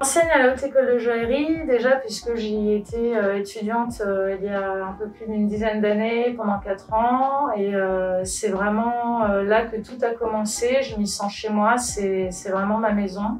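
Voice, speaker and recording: A woman speaks fairly slowly at a fairly high pitch, barely pausing. Her intonation stays fairly even over noticeable background noise. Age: 30s. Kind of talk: interview. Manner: hesitant, many filler sounds.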